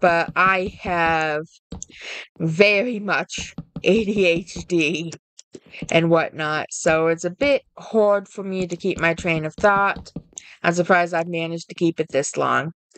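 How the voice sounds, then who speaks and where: A woman speaks at a fairly slow pace in a fairly low pitch, her intonation fairly even. The sound is dry and close, with no echo. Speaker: gaming video creator. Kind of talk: tutorial. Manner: halting, self-correcting.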